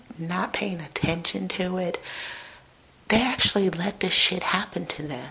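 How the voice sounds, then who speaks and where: Whispering and soft-spoken, a woman talks at a fairly slow pace with long, frequent pauses against noticeable background noise. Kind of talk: casual talk to camera. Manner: between whisper talking and soft talking.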